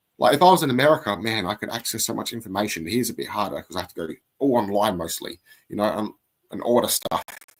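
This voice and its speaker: Talking at a very fast pace, a man with a medium pitch uses lively intonation and big swings in loudness. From Australia. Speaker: Gnostic priest. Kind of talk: casual chat.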